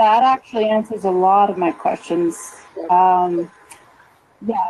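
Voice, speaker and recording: Here is a woman with an ordinary speaking voice at a medium pitch. She talks at a fairly slow pace. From Calgary, Alberta, Canada. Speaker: caller. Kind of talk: call-in question.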